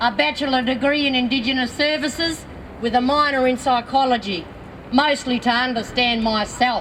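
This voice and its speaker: Against noticeable background noise, the voice moves at a moderate pace with fairly even intonation. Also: woman. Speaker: activist. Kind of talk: public speech.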